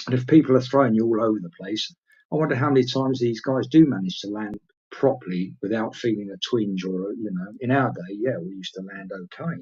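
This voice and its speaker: A man speaks at a very fast pace. He has an English accent. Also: medium pitch for a man, ordinary pitch variation, big swings in loudness. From England. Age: 60s. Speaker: retired pro wrestler. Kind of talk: interview. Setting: live stream. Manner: hesitant with filler words.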